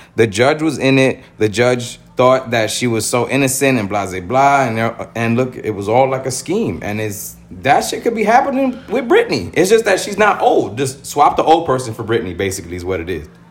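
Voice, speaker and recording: Over music in the background, a man at medium pitch talks at a moderate pace with very wide pitch swings and hardly any pauses. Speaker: podcast co-host. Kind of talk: casual chat.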